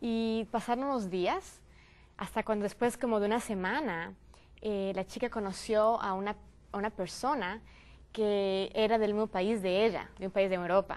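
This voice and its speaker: A woman's voice with fairly even intonation. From Ecuador. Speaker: youth panelist. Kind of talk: panel discussion. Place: studio. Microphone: lapel.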